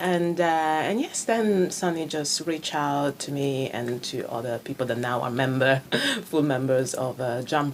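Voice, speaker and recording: A woman's very deep, low voice with an Italian accent, ordinary pitch variation and a fairly slow pace, over noticeable background noise. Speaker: improv actor. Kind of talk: radio interview.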